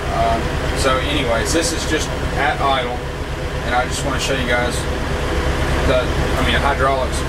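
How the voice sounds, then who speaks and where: Moderate pace with loud background noise. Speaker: tractor owner. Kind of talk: casual review walkthrough. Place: farm machine. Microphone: phone near.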